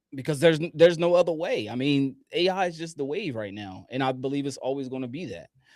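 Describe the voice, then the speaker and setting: Music plays in the background as a man with an American accent speaks at a fairly high pitch with lively intonation. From US, Delaware. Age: 30s. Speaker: business owner teaching AI tools. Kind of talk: live webinar presentation. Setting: live online broadcast with screen share.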